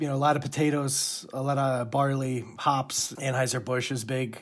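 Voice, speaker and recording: Over noticeable background noise, a man with a New Jersey accent and a fairly high pitch speaks at a moderate pace. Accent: New Jersey East Coast. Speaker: Presbyterian minister. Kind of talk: interview conversation.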